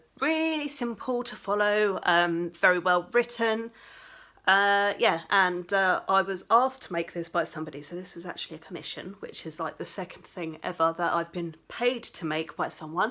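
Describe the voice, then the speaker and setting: Bright and sharp in tone, a woman with an English accent speaks at medium pitch and a moderate pace with lively intonation. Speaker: crafting vlogger. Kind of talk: casual vlog chat. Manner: animated.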